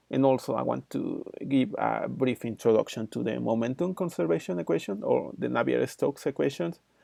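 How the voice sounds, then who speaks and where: Talking at a fairly quick pace with hardly any pauses, a man speaks with a Spanish accent. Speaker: engineering lecturer. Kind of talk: channel introduction; lecture. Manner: halting, many fillers.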